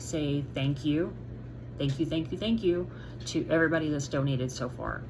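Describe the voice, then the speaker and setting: Vocal fry marks this woman's voice, which has ordinary pitch variation. Audible room echo surrounds her. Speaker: vlogger sharing medical recovery update. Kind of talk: casual video update to viewers. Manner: frequent fillers, halting.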